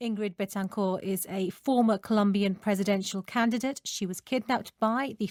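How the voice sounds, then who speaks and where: This woman's voice is an ordinary speaking voice at a medium pitch, moving at a moderate pace. Her intonation stays fairly even, and the sound is dry and close with no echo. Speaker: radio news presenter. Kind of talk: live radio interview, questioning a guest.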